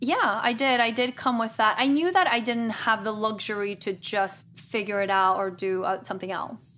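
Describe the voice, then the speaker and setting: A woman's fairly high, bright, sharp voice with a Spanish accent, ordinary pitch variation, a moderate pace, and hardly any pauses. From Guatemala. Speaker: podcast co-host. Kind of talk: casual chat.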